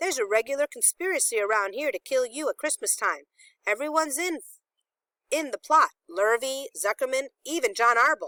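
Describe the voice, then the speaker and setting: A woman puts on a high-pitched character voice at a moderate pace. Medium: read story. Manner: blunt, tart.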